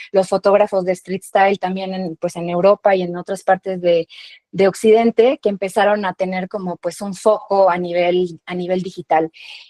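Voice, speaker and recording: A woman with a Mexican accent, medium pitch, a dark, mellow tone, monotone, flat intonation and a moderate pace, in a dry, close sound with no echo. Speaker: founder of a digital media outlet. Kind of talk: panel talk presentation.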